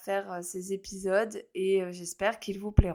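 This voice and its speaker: A woman's medium-pitched speech comes out monotone, with flat intonation. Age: 30s. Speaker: astrologer, podcast host. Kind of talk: casual solo podcast monologue. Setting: recording alone. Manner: hesitant, many fillers.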